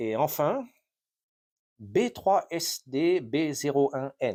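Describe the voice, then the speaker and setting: In an English accent, a man with a dark, mellow tone is heard on a very clean recording with a silent background. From France (Normandy) and US, bilingual. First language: English (speaking French). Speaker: history YouTuber. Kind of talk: unscripted Q&A monologue. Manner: halting, many fillers.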